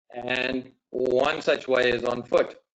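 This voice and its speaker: A man talks with a South African accent. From South Africa, Johannesburg. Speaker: safari guide. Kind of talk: webinar presentation. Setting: video call.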